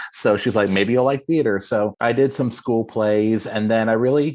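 A man speaks in a normal speaking voice with an American accent and a fairly low pitch. His intonation is fairly even, over a quiet background. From Texas, Austin. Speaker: theater director and performer. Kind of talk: interview.

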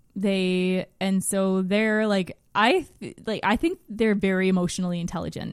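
This woman speaks in an Ontario accent at a medium pitch. Her pace is fairly slow and her intonation is monotone and flat. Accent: Canadian (Ontario). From northern Ontario, Canada (rural). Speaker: podcast guest, mother. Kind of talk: casual interview chat. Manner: unpredictably loud at times.

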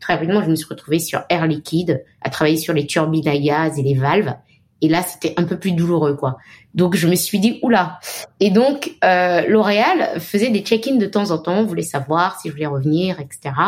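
The speaker is a woman with an ordinary speaking voice and a fairly low pitch. She talks at a moderate pace with lively intonation. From Benin, Cotonou. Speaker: marketing executive. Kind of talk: interview. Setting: remote call.

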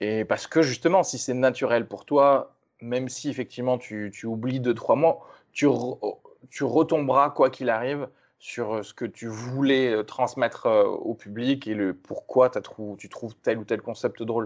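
In an unremarkable speaking voice, a man talks at a fairly slow pace with fairly even intonation and big swings in loudness, against a quiet background. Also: medium pitch for a man. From France, Toulouse. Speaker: stand-up comedian. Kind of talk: casual chat.

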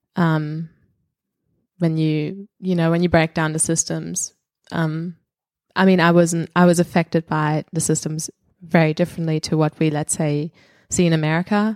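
The voice has a German accent and a moderate pace. Its intonation is flat and monotone. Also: woman, dry, close sound with no echo. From Germany. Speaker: comedian. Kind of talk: casual chat. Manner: halting.

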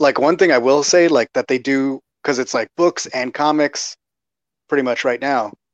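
Heard in a dry, close sound with no echo, a man has an ordinary speaking voice with an American accent, fairly high pitch and ordinary pitch variation. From Texas. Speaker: podcaster and fan. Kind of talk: casual chat. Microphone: frozen connection.

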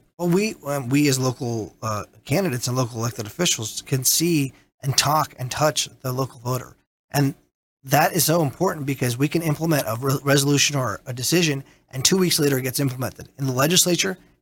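A man speaks at a very fast pace, somewhat breathy. His pitch is fairly high, with ordinary pitch variation. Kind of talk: casual chat. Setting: studio.

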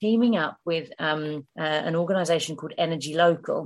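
With a southern English accent, a woman talks at a moderate pace in a fairly low pitch with ordinary pitch variation. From England, Hertfordshire. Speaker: long-distance hiker and environmental campaigner. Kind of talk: casual chat interview.

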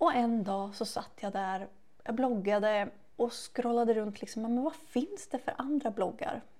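Using a plain, everyday voice, a woman speaks at a fairly slow pace with fairly high pitch and lively intonation. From Sweden, Västervik. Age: 30s. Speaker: beauty podcast co-host, beauty shop worker. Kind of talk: casual chat.

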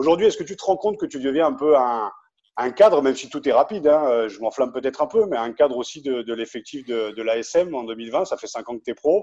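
Against a quiet background, a man with a dark, mellow tone and fairly high pitch speaks fairly quickly, with lively intonation and big swings in loudness. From Picardy. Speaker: podcast host. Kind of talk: interview.

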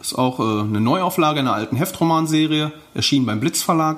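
A man talks in a normal speaking voice. He keeps a moderate pace with ordinary pitch variation. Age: 30s. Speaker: pulp fiction author. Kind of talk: interview.

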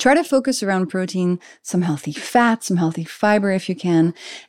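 Heard in a very clean recording with a silent background and a dry, close sound with no echo, a woman with a French accent speaks at medium pitch and a moderate pace with lively intonation. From France (Paris). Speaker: biochemist and health author. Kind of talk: casual interview chat.

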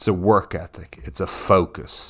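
In a very clean recording with a silent background, a man with an Irish accent speaks in an animated tone. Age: 40s. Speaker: podcast host. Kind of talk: casual interview chat. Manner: animated, excitable.

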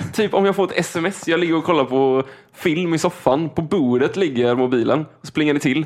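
Speaking in an unremarkable speaking voice, a man keeps a fairly high pitch, ordinary pitch variation, moderate pace and very even loudness. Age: 20s. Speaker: podcast co-host. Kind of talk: casual chat.

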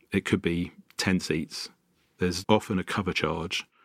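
This man's very deep, low voice carries fairly even intonation. The very clean recording has a silent background and a dry, close sound with no echo. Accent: London. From North London. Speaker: venue founder and sound engineer. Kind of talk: casual interview. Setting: live venue.

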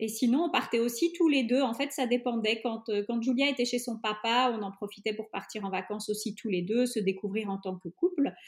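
A woman speaks at a fairly quick pace with hardly any pauses. Her pitch variation is ordinary. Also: fairly high pitch for a woman. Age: 30s. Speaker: traveling mother. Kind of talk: interview. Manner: hesitant with fillers.

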